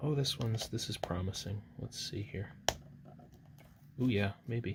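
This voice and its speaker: A soft-spoken man talks at a fairly slow pace, his medium pitch showing ordinary variation. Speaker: artist. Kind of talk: casual chat. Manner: loud.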